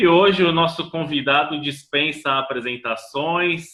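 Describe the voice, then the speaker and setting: A man at a very slow pace. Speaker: film critic and interviewer. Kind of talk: interview questions.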